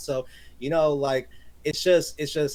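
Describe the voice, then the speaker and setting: Loud and energetic, a man speaks. His pace is very fast. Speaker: gaming streamer. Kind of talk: casual podcast chat. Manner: loud, energetic.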